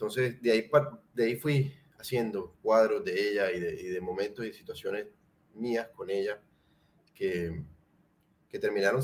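A man speaks at a fairly slow pace. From Colombia, Cartagena. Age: 30s. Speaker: painter. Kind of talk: casual interview chat.

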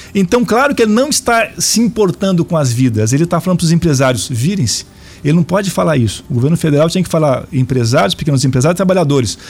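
Very fast speech with very wide pitch swings over noticeable background noise. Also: man, fairly high pitch for a man, very even loudness. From Brazil, Araraquara (São Paulo state). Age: 50s. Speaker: politician and university professor. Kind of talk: radio interview.

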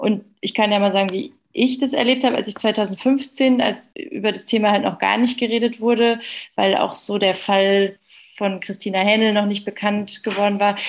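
A woman speaks in a plain, everyday voice at a moderate pace. Her pitch variation is ordinary, and the background is quiet. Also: fairly high pitch for a woman. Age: young. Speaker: doctor. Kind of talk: casual chat.

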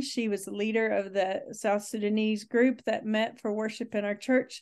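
Speaking at a moderate pace, a woman with a fairly high pitch talks in an American accent. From Texas. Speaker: pastor and immigration advocate. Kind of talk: interview.

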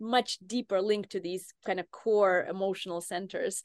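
With a dry, close sound and no echo, a woman at a medium pitch speaks with fairly even intonation over a quiet background. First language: not English (native language rarely used). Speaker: neuroscience professor. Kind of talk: interview.

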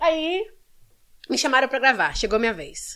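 A woman's lively intonation at a moderate pace. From Brazil, Belo Horizonte (Minas Gerais). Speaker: actress and model. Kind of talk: casual chat.

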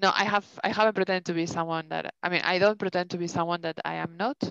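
Talking at a very fast pace, a woman speaks with a Spanish accent and a fairly low pitch. The sound is dry and close, with no echo. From Spain. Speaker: podcast co-host. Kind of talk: casual chat. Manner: animated.

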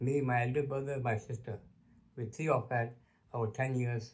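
A man speaks at a moderate pace in a medium pitch, somewhat breathy, with monotone, flat intonation. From Kenya. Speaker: grandfather sharing life story, retired bank worker. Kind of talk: interview, life story. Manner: halting.

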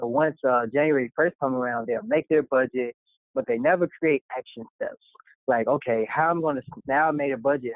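An American accent marks this man's fairly high voice, which shows ordinary pitch variation. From US Midwest, south suburbs of Chicago. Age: 20s. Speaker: accountant. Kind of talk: casual interview.

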